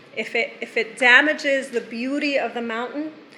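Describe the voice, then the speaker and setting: Noticeable background noise fills the clip. A woman is speaking. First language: not English. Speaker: resident speaking at public comment. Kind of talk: public comment at town meeting. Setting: town council meeting.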